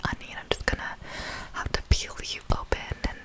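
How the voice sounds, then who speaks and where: Noticeable background noise fills the recording. Over it, a woman whispers. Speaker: ASMR creator. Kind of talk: ASMR storytime commentary on a reality show. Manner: whispered, soft, slow.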